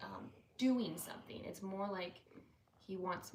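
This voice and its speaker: A woman speaks quietly at a moderate pace in a medium pitch. There is audible room echo and noticeable background noise. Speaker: parent on family channel. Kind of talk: casual live-stream chat. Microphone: no mic on, too quiet.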